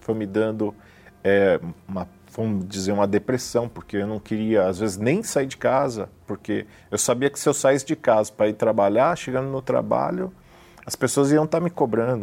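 A man speaks with a dark, mellow tone. His pace is moderate and his pitch variation ordinary. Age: 40s. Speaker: businessman, church member. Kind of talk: testimony. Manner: hesitant, frequent fillers.

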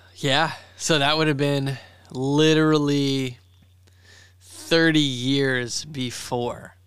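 Audible room echo surrounds a man with a fairly high pitch who speaks very slowly in a monotone, flat intonation, his loudness very even and his pauses long and frequent. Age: 30s. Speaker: podcast co-host, shop owner. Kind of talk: casual chat.

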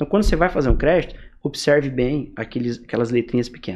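A man with a medium-pitched voice talks very fast. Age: 20s. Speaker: entrepreneur, growth hacking specialist. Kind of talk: casual interview.

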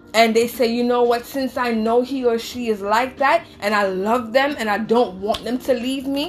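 Over noticeable background noise, a woman with a high pitch talks with hardly any pauses and fairly even intonation. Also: moderate pace. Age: 30s. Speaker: psychic reader. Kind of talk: casual chat.

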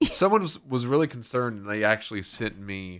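A man with an unremarkable speaking voice speaks at a moderate pace with ordinary pitch variation on a very clean recording with a silent background. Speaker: radio host. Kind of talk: casual chat. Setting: radio studio.

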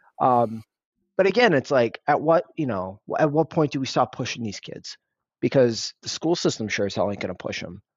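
With an American accent, a man talks in a normal speaking voice at medium pitch and a moderate pace. His intonation is lively and his loudness swings widely. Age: 30s. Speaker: parent of two, office worker. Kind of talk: casual chat.

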